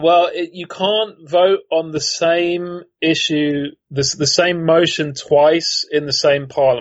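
A man's high voice with a British accent, very slow, fairly even in intonation and with hardly any pauses. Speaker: politics professor. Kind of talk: casual expert analysis. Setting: remote call. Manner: dry, wry humor.

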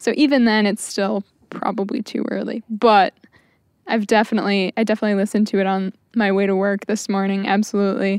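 With an American accent, a woman speaks at a fairly quick pace in a normal speaking voice, medium in pitch, with fairly even intonation. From Michigan (Saginaw). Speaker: student. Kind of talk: casual chat.

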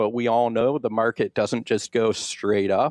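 A man's ordinary speaking voice, fairly low-pitched and fairly slow, with fairly even intonation, in dry, close sound with no echo against a quiet background. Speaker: financial advisor. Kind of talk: radio interview explaining financial topics.

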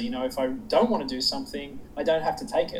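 A man in an Australian accent, very fast, with very wide pitch swings and noticeable background noise. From Sydney, Australia. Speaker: public speaker. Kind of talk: casual interview chat.

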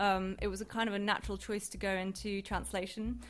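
A woman with an ordinary speaking voice talks fairly quickly at a medium pitch. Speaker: postdoctoral researcher. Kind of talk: panel talk. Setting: stage with audience.

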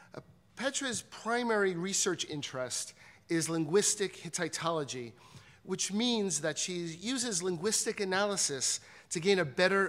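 At a moderate pace, a man speaks with a high pitch and lively intonation. The recording is very clean, with a silent background. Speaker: institute director. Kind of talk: formal introduction. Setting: stage with audience.

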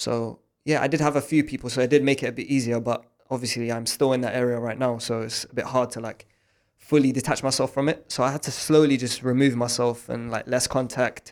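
With a South London accent, a man at a medium pitch talks at a fairly quick pace in a monotone, flat intonation, his loudness swinging widely. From South East London. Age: 20s. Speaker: forex trading student. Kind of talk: casual interview. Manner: hesitant, many fillers.

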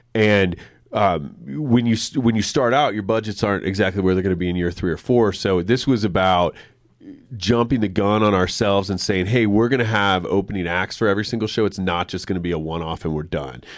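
A man speaks at a fairly quick pace. He has an unremarkable speaking voice, fairly low in pitch. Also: ordinary pitch variation. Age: 40s. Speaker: music venue nonprofit executive. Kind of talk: casual chat. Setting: studio.

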